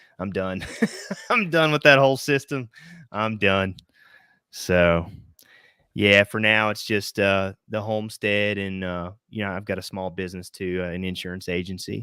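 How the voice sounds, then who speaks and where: A man with a fairly low pitch and a bright, sharp tone speaks at a moderate pace with ordinary pitch variation. He leaves long, frequent pauses, and the recording is very clean with a silent background. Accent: American. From Southwest Virginia and East Tennessee. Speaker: homesteader and insurance agency owner. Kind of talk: casual livestream interview. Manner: casual, many fillers and restarts.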